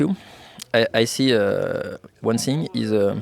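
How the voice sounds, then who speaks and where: Very slowly, a man speaks with a French accent. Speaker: esports player in the air force. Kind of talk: casual chat. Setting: outdoor barbecue. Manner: halting.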